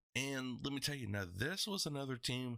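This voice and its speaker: The recording is very clean and the background silent. A man talks in a bright, sharp tone. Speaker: esports podcast host. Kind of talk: solo podcast commentary.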